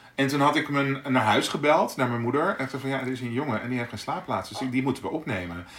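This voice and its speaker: Over noticeable background noise, a man with a medium pitch and ordinary pitch variation talks at a very fast pace with hardly any pauses. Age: 40s. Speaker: podcast co-host. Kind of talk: casual chat. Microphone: poor amateur sound in early episode.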